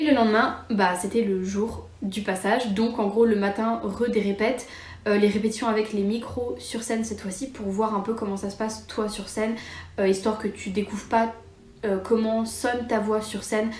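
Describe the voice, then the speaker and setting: A woman's fairly high, monotone, flat voice, with audible room echo and noticeable background noise. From France, Metz area. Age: 20s. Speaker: YouTuber. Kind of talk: casual storytime vlog. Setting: home, cosy setup. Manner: fast; casual, many fillers.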